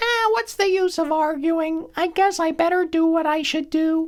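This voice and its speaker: A man's squeaky, put-on character voice, extremely high in pitch, at a moderate pace. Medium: read story. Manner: sighing, resigned.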